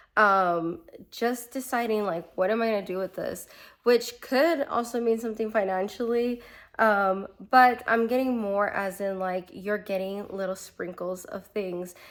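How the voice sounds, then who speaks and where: On a very clean recording with a silent background, a woman with an unremarkable speaking voice talks at a fairly slow pace, her fairly high pitch showing ordinary variation. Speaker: tarot reader podcast host. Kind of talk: casual monologue, tarot reading. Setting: home garage studio.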